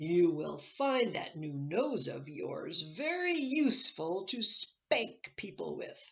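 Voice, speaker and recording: A woman puts on a character voice, fairly high in pitch. She goes very slowly but with hardly any pauses. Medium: read story. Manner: sly, instructive.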